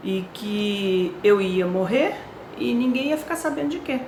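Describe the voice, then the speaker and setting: Over noticeable background noise and audible room echo, a woman speaks at a fairly slow pace. Her fairly high voice moves in very wide pitch swings. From Brazil, Rio de Janeiro. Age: 60s. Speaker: cancer patient sharing her story. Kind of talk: personal testimony. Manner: hesitant, with fillers.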